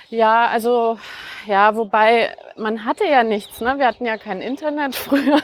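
A normal speaking voice from a woman, fairly high in pitch, with ordinary pitch variation and a fairly slow pace. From Franconia, near Nuremberg, Germany. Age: 40s. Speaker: author. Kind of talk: casual conversation. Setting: outdoors, walking through Berlin park. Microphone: occasional echo.

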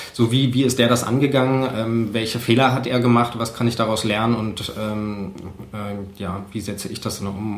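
A man speaks at a moderate pace in a fairly low, monotone, flat voice. Noticeable background noise and audible room echo surround him. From eastern Germany, Cottbus. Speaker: photojournalist and podcaster. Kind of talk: casual interview. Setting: home kitchen. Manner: hesitant, many filler sounds.

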